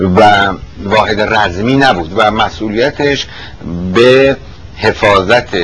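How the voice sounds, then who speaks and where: With long, frequent pauses, a man speaks at a very slow pace with a fairly low pitch and ordinary pitch variation, over noticeable background noise. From Iran, Tehran. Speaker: retired army officer. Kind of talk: oral history interview. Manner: halting.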